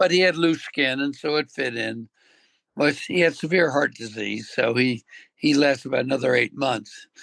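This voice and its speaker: A man with a fairly high pitch and vocal fry talks at a moderate pace with ordinary pitch variation, recorded with a dry, close sound and no echo. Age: 80s+. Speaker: veterinarian. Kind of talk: interview answer.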